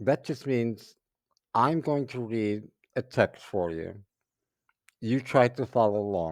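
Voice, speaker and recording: With an American accent, a man speaks at a very slow pace and medium pitch, the sound dry and close with no echo. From New York (Brooklyn). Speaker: English teacher. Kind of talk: reading aloud for shadowing practice. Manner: clear, deliberate pacing for learners.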